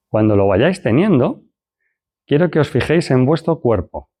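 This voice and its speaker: With very wide pitch swings around a medium pitch, a man talks at a fairly slow pace. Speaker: lecturer. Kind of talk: lecture; guided exercise.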